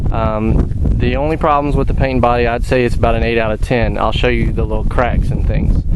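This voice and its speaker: Over noticeable background noise and audible room echo, a man speaks at a fairly quick pace with hardly any pauses and very even loudness. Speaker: vehicle owner selling his truck. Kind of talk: product walkthrough video. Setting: outdoors. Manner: casual, hesitant with many fillers.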